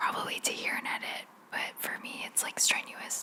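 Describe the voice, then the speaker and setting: Noticeable noise fills the background. A woman speaks in a whisper. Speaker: ASMR youtuber. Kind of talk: ASMR whisper Q&A. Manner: whispering.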